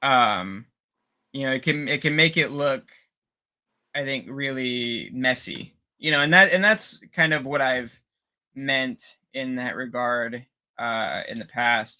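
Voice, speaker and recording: The speech comes at a very slow pace with a slight Pittsburgh accent. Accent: bit of Pittsburgh. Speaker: 3D sculptor, co-host. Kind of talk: casual chat on live stream. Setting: live stream from outside the studio. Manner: halting, many fillers.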